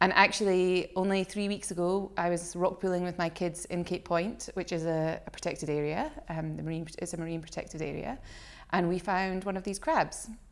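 In a very clean recording with a silent background, a woman speaks with a Scottish accent at a fairly low pitch. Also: fairly even intonation, fairly quick pace. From Scotland. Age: 40s. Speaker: shark education centre director. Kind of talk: casual interview chat. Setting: rented holiday home.

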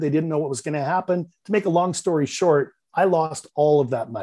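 A man talks at a moderate pace. He speaks with a slight Canadian accent. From Canada, Vancouver. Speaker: real estate investor and business coach. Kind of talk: podcast interview.

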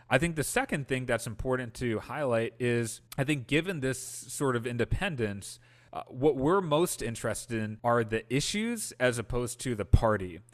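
With a plain, everyday voice, a man at a medium pitch talks at a moderate pace with ordinary pitch variation and hardly any pauses over a quiet background. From Wisconsin, US Midwest. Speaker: political organizer and Senate hopeful. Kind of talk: podcast interview.

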